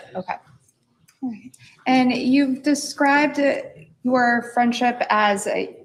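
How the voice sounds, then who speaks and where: A soft-spoken woman with a high pitch. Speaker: prosecutor. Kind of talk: cross-examination. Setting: courtroom.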